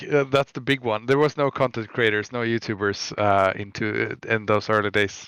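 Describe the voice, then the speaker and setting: The speaker has a Swedish accent. Hardly any pauses break the fairly even intonation. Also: man, medium pitch for a man, moderate pace, dry, close sound with no echo, quiet background. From Sweden. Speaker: web developer. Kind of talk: interview. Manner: halting, many fillers and restarts.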